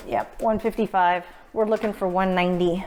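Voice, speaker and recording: A woman at medium pitch with fairly even intonation and a moderate pace, amid noticeable background noise. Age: 40s. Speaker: home baker. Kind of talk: casual cooking demonstration.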